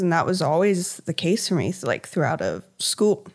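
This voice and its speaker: A woman's unremarkable speaking voice at a medium pitch, with an American accent, fairly even intonation and a very clean recording over a silent background. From Virginia, US (Hampton Roads). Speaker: painter. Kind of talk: interview conversation.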